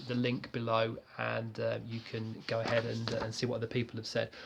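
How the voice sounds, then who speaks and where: A man speaks at a medium pitch. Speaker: fitness vlogger. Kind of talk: product review. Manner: hesitant, many fillers.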